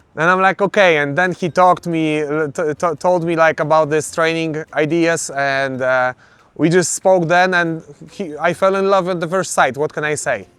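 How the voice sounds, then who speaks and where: With a Polish accent, a man speaks at a fairly high pitch with fairly even intonation. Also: moderate pace. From Poland. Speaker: MMA fighter. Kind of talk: interview. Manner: halting.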